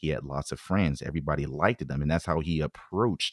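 A man with an American accent and vocal fry, at a fairly quick pace, in a dry, close sound with no echo and a very clean recording, silent background. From US West Coast, San Francisco Bay Area. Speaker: former college football player. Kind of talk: casual chat.

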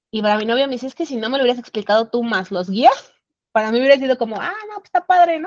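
A woman's high voice at a very fast pace, with lively intonation and big swings in loudness. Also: dry, close sound with no echo. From Mexico City. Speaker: traveler sharing trip experience. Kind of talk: casual chat.

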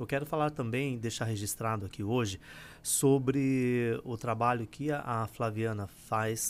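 An ordinary speaking voice from a man, at a medium pitch and moderate pace, with fairly even intonation. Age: 40s. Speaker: spiritual teacher. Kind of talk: livestream talk.

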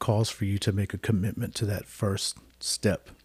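A man with a fairly low pitch speaks in a somewhat breathy, dark, mellow tone. His intonation is monotone and flat, and the recording is very clean with a silent background. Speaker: podcast host in recovery. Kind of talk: casual podcast conversation.

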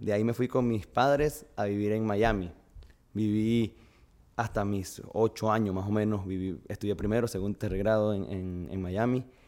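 Here a man speaks at a moderate pace. His fairly low voice has a dark, mellow tone. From Venezuela, Barquisimeto (Lara). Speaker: fitness coach. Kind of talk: casual interview.

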